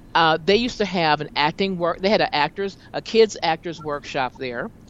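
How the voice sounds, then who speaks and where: A woman's voice with noticeable background noise. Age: 50s. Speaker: talk show host and jazz singer. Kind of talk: casual chat.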